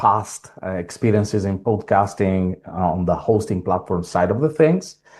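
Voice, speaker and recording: With an Italian accent, a man speaks at a very deep, low pitch and with ordinary pitch variation. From Italy. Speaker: tech company founder. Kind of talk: self-introduction in a webinar. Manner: hesitant, many fillers.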